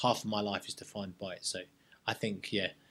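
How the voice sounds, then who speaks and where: Someone with a London accent talks at a moderate pace. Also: man. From North London, England. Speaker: serving soldier. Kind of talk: casual interview chat. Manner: halting, repeats words.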